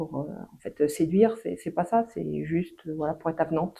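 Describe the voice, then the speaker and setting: With vocal fry and a dark, mellow tone, a woman talks at a moderate pace in a fairly low pitch. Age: 60s. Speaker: patient giving testimonial. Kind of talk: interview testimony. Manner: hesitant, many fillers.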